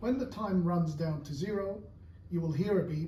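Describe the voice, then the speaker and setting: The voice has a dark, mellow tone and lively intonation. It moves at a moderate pace, with audible room echo. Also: man. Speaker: English teacher. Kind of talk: tutorial.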